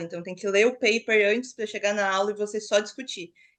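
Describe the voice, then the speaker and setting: A woman's normal speaking voice, fairly high in pitch and fairly quick, against a quiet background. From Brazil, São Paulo city. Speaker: master's student. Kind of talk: podcast interview.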